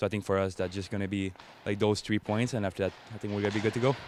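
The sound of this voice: A man speaks at a very fast pace. His pitch is fairly low and shows little movement.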